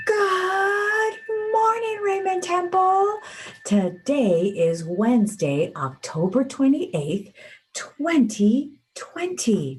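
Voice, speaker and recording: Over music in the background, a woman talks very slowly at a high pitch, with very wide pitch swings and very even loudness. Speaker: school morning announcements host. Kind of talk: morning announcements. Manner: quiet, relaxed.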